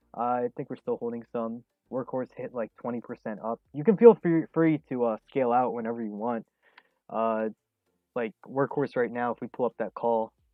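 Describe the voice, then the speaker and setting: With a medium pitch and fairly even intonation, a man talks at a moderate pace in an unremarkable speaking voice. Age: 20s. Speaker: day trading streamer. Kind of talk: live stream commentary and chat Q&A. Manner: casual, many fillers.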